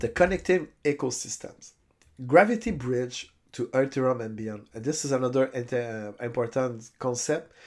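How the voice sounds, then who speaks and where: A man with a French accent at medium pitch and moderate pace, with ordinary pitch variation and big swings in loudness, on a very clean recording with a silent background. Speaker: crypto YouTuber. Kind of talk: tutorial. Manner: halting.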